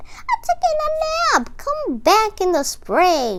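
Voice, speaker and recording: Over light background noise, a woman puts on a squeaky character voice at an extremely high pitch. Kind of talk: bedtime story. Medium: read story.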